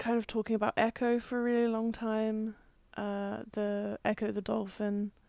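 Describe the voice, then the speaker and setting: Her voice sits at a fairly high pitch with monotone, flat intonation, recorded with a dry, close sound and no echo. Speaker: podcast host. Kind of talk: recorded voiceover in editing; casual chat.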